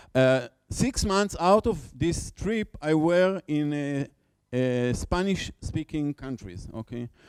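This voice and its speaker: With a non-native accent and lively intonation, a man talks at a very slow pace in a dry, close sound with no echo. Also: fairly high pitch for a man. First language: Hebrew. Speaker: conference speaker, education researcher. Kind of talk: conference talk. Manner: halting, many fillers and repetitions.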